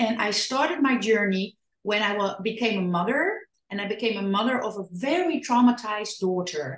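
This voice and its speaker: Somewhat breathy and fairly high in pitch, a woman with a Dutch accent speaks at a moderate pace with lively intonation. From Netherlands. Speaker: parenting and trauma educator, author. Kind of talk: podcast interview. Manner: halting.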